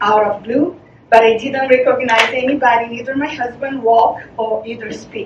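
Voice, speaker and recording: The speech comes at a moderate pace with fairly even intonation. Audible room echo and noticeable background noise surround it. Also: woman. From Brazil. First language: Portuguese. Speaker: charity founder. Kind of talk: presentation. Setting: meeting presentation. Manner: halting.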